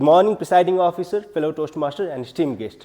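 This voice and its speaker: A man is speaking with a Nepali accent. His pitch varies in an ordinary way. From Nepal, far western region. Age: 20s. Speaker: public speaking club member. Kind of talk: prepared speech.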